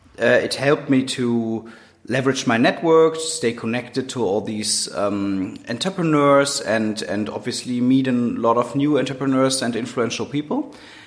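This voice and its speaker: Speaking with a German accent at a moderate pace and hardly any pauses, a man uses a medium pitch with ordinary pitch variation. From Germany, Cologne. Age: 30s. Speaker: entrepreneur and university head. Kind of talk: interview. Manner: hesitant with many fillers.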